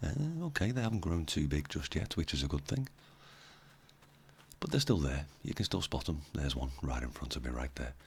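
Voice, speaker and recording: A man with a very deep, low voice and vocal fry talks at a fairly quick pace, broken by long, frequent pauses. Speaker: gaming YouTuber. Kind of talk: let's play commentary. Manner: casual, many fillers.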